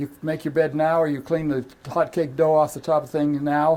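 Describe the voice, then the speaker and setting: A man with an American accent. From US West, rural Idaho. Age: 80s+. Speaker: professional cleaner and speaker. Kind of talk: talk to an audience. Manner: animated.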